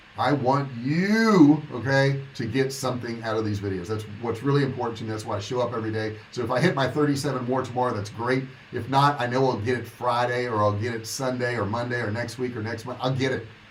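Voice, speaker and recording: A man at a medium pitch and very fast pace, with hardly any pauses, fairly even intonation, audible room echo and noticeable background noise. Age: 60s. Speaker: online business coach. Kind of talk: livestream monologue. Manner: casual, conversational.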